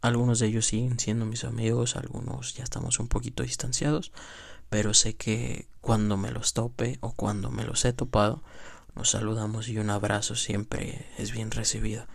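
Somewhat breathy and fairly low in pitch, this man speaks at a moderate pace with ordinary pitch variation. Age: 20s. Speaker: amateur podcaster. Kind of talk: casual monologue.

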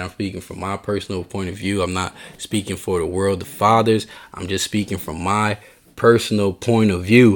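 A man at a fairly low pitch, moderate pace and monotone, flat intonation. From Haitian heritage. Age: 30s. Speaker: podcast host. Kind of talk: casual monologue. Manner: repetitive stammering.

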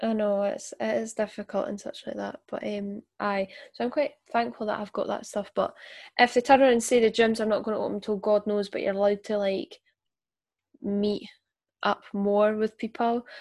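In a Scottish accent, a woman speaks at a fairly high pitch and moderate pace, in a dry, close sound with no echo on a very clean recording with a silent background. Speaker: podcast host.

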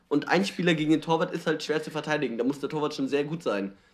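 Vocal fry marks this man's fairly high-pitched voice. He talks at a very fast pace. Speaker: podcast co-host. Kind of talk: casual chat.

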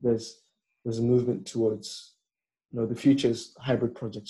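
Somewhat breathy and at a fairly quick pace, a man speaks with a medium pitch. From northern England, raised partly in Nigeria and Cameroon until age 10. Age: 20s. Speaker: renewable energy engineer. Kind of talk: casual interview chat.

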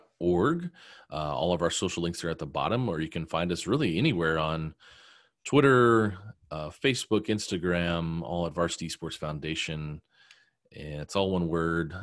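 With an American accent, a man speaks at a very deep, low pitch with ordinary pitch variation, on a very clean recording with a silent background. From Oklahoma City, US. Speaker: esports nonprofit leader. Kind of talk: interview. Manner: halting, many fillers.

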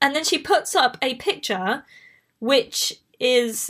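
Over a very clean recording with a silent background, a woman with a Bristol accent speaks at a very slow pace with a high pitch and very wide pitch swings. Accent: Bristolian English accent, mild. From southwest England. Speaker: podcast host. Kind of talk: casual chat. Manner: chatty, prone to tangents.

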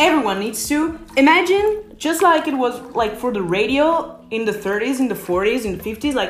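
A woman with an Italian accent speaks at a moderate pace and a fairly high pitch, her intonation lively. Noticeable background noise runs underneath. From Italy. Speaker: podcast host. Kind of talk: casual solo podcast monologue. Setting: in a bathtub at home, rain on the roof.

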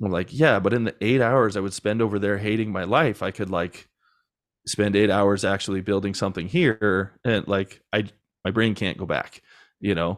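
A man speaks in a normal speaking voice at a moderate pace. His pitch is fairly low and his intonation fairly even. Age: 30s. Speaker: podcast agency founder. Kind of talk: casual interview chat.

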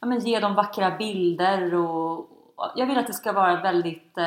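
Speaking in a normal speaking voice, a woman talks at a fairly slow pace. Her pitch sits in the medium range and varies in an ordinary way. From Sweden, Stockholm. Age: 20s. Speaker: blogger and entrepreneur. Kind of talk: interview.

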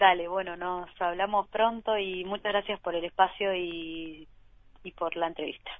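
A woman speaks fairly slowly in a monotone, with flat intonation. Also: medium pitch for a woman. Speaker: singer-songwriter. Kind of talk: interview. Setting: phone call. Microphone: remote line with delay.

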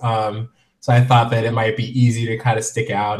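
A man's somewhat breathy, medium-pitched voice with an American accent, fairly quick and in a flat monotone. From US Midwest and Florida (military family). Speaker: fashion blogger and author. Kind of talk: interview.

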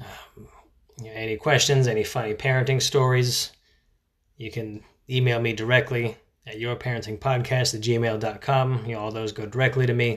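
A man speaks in a flat, monotone way with a somewhat breathy voice. The recording is very clean, with a silent background. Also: medium pitch for a man, moderate pace. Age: 30s. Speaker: parenting podcast host. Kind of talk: casual monologue. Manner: hesitant, many filler words.

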